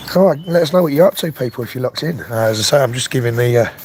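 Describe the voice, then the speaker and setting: A man speaks with a fairly high pitch and lively intonation in a relaxed tone. Noticeable background noise sits behind him. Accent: London. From London. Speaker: RC car youtuber. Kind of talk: casual live stream chat. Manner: relaxed, chatty.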